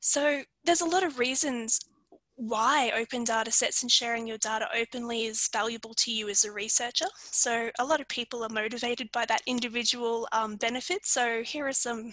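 Against a quiet background, a woman with an Australian accent speaks with fairly even intonation in a dry sound with no echo. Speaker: librarian presenter; presenter. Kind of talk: webinar presentation. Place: home room. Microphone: video call.

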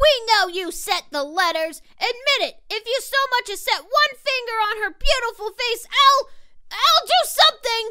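In a cartoonish character voice, a woman speaks at an extremely high pitch with lively intonation. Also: moderate pace. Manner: upbeat, excitable.

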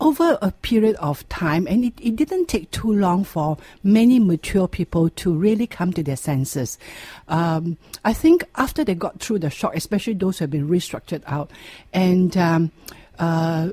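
A woman speaks at a moderate pace with lively intonation and a dark, mellow, somewhat breathy tone. The sound is dry with no echo, and the background is quiet. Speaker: radio guest. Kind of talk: interview answer. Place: studio.

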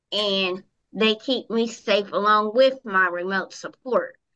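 The setting is quiet. A woman speaks very slowly. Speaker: remote guest. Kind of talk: interview answer. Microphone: video call.

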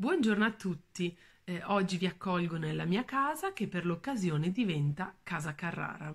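This woman's voice is somewhat breathy, with lively intonation. She keeps a moderate pace. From northern Italy, Valle Imagna near Bergamo; northern Italy. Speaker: museum educator. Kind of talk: art talk. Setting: at home. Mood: warm, calm. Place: home room. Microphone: phone near.

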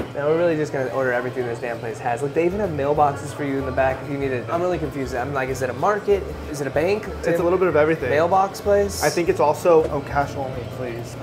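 Clear music plays behind a man talking at a very fast pace with hardly any pauses. His pitch variation is ordinary. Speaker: vlogger. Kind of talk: casual vlog chat. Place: shop. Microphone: lapel.

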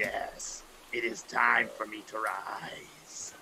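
Over light background noise, a man does a raspy, put-on character voice. He speaks at a very slow pace. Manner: dramatic, mock-grand.

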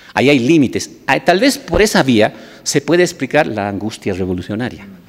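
A man at medium pitch talks at a fairly quick pace, his pitch swinging very widely. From Bolivia. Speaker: deputy minister and sociologist; deputy minister. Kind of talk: academic commentary. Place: hall. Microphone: podium.

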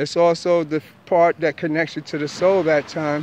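A man with a New York accent, high in pitch, fairly even in intonation, at a moderate pace, dry with no echo, over light background noise. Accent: New York (Bronx). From New York, the Bronx. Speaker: spiritual teacher vlogger. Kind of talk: monologue lecture. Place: street. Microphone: phone near.

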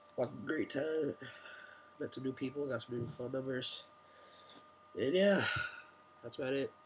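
A man talks at a moderate pace with a medium pitch and ordinary pitch variation. Long, frequent pauses break up his speech over noticeable background noise. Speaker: vlogger. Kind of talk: casual vlog. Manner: halting.

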